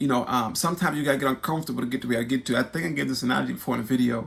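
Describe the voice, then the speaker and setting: The speaker is a man with a medium pitch, vocal fry and a bright, sharp tone. His pitch variation is ordinary. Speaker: YouTube host and spoken word poet. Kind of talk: personal testimony vlog. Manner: halting, many repetitions and fillers; animated.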